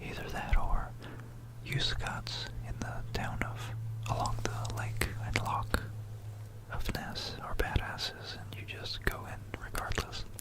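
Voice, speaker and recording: Someone whispers at a very slow pace with long, frequent pauses over noticeable background noise. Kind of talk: ASMR history talk. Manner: whispered.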